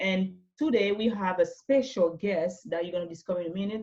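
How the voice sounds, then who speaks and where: Speaking with a non-native accent, a woman keeps to a moderate pace. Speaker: interview show host. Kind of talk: interview. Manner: animated.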